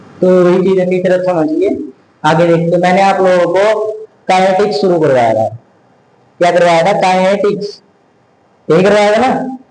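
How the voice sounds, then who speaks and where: A man talks in a high voice with very even loudness, ordinary pitch variation, and long, frequent pauses. Audible room echo and noticeable background noise fill the recording. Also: moderate pace. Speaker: tutor. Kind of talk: lecture. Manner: casual, conversational.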